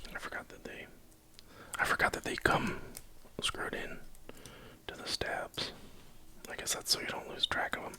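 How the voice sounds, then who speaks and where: A man whispering at a moderate pace, with big swings in loudness, long, frequent pauses and noticeable background noise. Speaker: keyboard hobbyist streamer. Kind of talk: live-stream build tutorial. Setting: at home at night, live stream. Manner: quiet, near-whispered.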